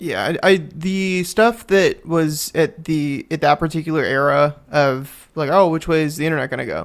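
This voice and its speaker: A man with a plain, everyday voice at a fairly high pitch, moderate pace, ordinary pitch variation and hardly any pauses, on a very clean recording with a silent background. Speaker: podcast host, web developer. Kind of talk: casual banter.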